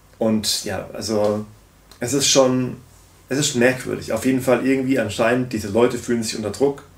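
A man speaks at a moderate pace in a flat, monotone way. Room echo is audible. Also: medium pitch for a man. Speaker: political commentary YouTuber. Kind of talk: video commentary. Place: home room.

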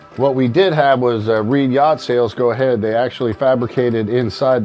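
Faint background music behind a man talking. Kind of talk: tour walkthrough explanation. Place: boat.

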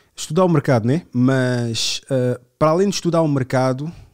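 Pitch varies in an ordinary way in an ordinary speaking voice. The background is silent and the recording very clean. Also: man. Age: 30s. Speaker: podcast host. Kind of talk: casual chat.

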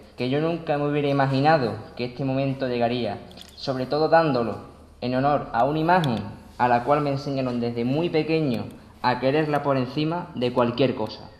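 A man's fairly high voice at a fairly quick pace, fairly even in intonation, with audible room echo. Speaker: pregonero giving a religious festival address; speaker. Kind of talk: solemn poetic declamation, oratory with flowery, sea-and-devotion imagery. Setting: church with audience. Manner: formal, measured, lyrical, with rhetorical cadence. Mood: devout, emotional, grateful. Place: church. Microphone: podium.

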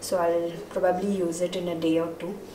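Noticeable background noise behind a woman's fairly low-pitched voice. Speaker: home vlogger. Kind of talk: casual vlog chat. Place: kitchen. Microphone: phone near.

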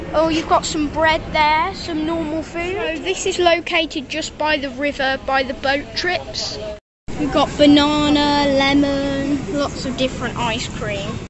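A woman with a high voice speaks at a fairly slow pace with ordinary pitch variation, the sound dry with no echo and crowd noise in the background. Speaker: vlogger. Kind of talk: casual vlog chat. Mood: cheerful, enthusiastic. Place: waterside. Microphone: phone near.

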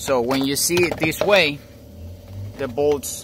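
A man with a non-native accent speaks at a fairly high pitch. The sound is dry with no echo, over light background noise. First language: not English. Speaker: car DIY hobbyist. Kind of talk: DIY car repair tutorial. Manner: casual, hesitant. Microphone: phone near.

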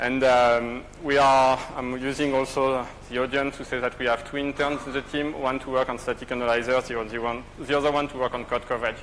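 A man talks at a fairly quick pace with few pauses and little pitch movement. His tone is fairly bright. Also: medium pitch for a man.

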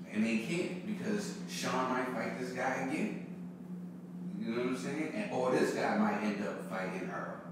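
A man talks at a moderate pace with strong room echo. Noticeable background noise is present. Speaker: podcast co-host. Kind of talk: casual podcast discussion. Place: home room.

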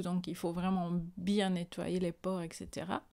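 Fairly slow speech from a woman, with a quiet background. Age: 40s. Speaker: beauty vlogger. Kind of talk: tutorial. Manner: casual. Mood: calm, pleased.

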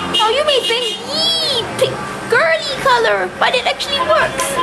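A woman speaks in a raised, projected voice. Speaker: travel vlogger narrating through a toy. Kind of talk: casual vlog chat. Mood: cheerful, amused. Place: shop. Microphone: phone near.

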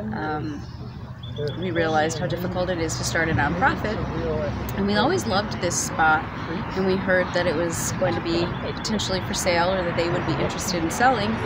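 Speech comes at a fairly quick pace with a dry sound and no echo. Loud background noise is present. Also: woman. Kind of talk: interview answer. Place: cafe.

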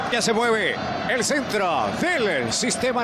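There is noticeable background noise behind this man. He speaks in a high pitch with ordinary pitch variation. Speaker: sports commentator. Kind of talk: live sports commentary. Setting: broadcast of a TV match.

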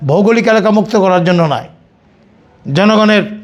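A man with ordinary pitch variation. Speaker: war veteran. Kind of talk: testimony.

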